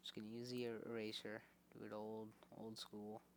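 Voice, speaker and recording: Quietly, a man with fairly low pitch speaks at a moderate pace. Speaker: math tutor. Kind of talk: casual tutorial explanation. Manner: quiet, low volume.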